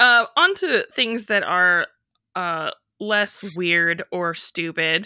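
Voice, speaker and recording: The woman's medium-pitched voice has a bright, sharp tone and an American accent. Her pitch varies in an ordinary way, and the recording is very clean with a silent background. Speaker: jazz beat reporter and podcast host. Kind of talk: casual banter podcast chat.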